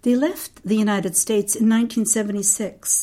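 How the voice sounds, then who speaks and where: Her pitch sits fairly high for a woman. The tone is dark and mellow, somewhat breathy. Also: very clean recording, silent background. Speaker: documentary narrator. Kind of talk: scripted narration.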